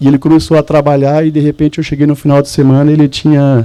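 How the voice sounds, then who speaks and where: With a Mato Grosso do Sul accent, the speaker moves at a fairly quick pace in a dark, mellow tone. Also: man. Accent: Mato Grosso do Sul Brazilian. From Mato Grosso do Sul, Brazil. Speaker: church speaker giving testimony. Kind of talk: testimony. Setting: men's church event with audience.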